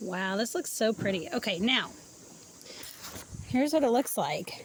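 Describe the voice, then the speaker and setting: Her fairly high pitch swinging very widely, a woman talks at a fairly slow pace in a dry sound with no echo over light background noise. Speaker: cooking vlogger. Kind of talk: cooking tutorial. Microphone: phone near.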